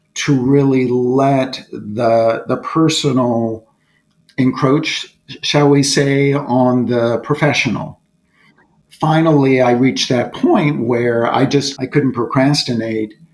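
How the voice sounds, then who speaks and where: A man's medium-pitched voice, very slow, with fairly even intonation and very even loudness. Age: 60s. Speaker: corporate board director. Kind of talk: podcast interview. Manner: reflective, with frequent hesitations.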